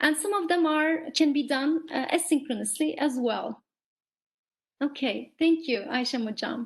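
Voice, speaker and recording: A woman with a Turkish accent speaks at a fairly slow pace. Her pitch is high, with ordinary pitch variation. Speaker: teacher trainer. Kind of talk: online workshop. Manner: hesitant fillers.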